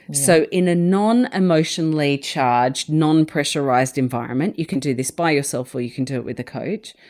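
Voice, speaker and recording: With an Australian accent, a woman talks at a fairly quick pace with hardly any pauses. Her pitch is very deep and low. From Sydney, Australia. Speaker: organisational psychologist and author. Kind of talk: interview conversation.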